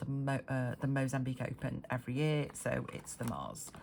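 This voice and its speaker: A woman talks with a very deep, low pitch. Her intonation stays fairly even. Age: 50s. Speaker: budgeting vlogger. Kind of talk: casual talk to camera. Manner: hesitant, many fillers.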